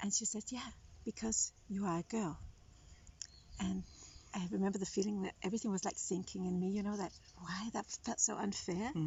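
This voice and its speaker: A woman with a medium pitch and vocal fry speaks at a fairly quick pace. Her intonation is fairly even, broken by long, frequent pauses. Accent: Danish. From Denmark. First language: Danish. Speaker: writer and writing coach. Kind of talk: testimony; casual chat. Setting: outdoors.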